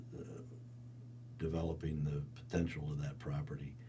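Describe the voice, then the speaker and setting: With a central Pennsylvania accent, a man speaks in a dark, mellow tone with vocal fry and very wide pitch swings, and audible room echo fills the space. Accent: central Pennsylvania American. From central Pennsylvania, Cumberland County. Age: 80s+. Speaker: resort and theatre owner. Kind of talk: oral history interview. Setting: recording studio. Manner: halting, with many repetitions and fillers.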